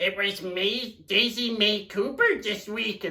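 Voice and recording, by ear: Fairly high in pitch, this is a put-on character voice. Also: fairly slow pace.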